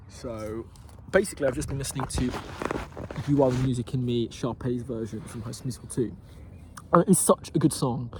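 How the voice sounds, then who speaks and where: Amid noticeable background noise, a man of medium pitch talks at a fairly quick pace with ordinary pitch variation, big swings in loudness, and long, frequent pauses. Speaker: vlogger. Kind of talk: casual vlog monologue. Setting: outdoors in a park. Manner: fast.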